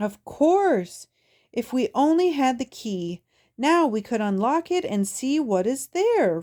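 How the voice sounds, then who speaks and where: A woman's high, put-on character voice with very wide pitch swings, at a fairly slow pace, in a very clean recording with a silent background. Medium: read story. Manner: brisk, opinionated.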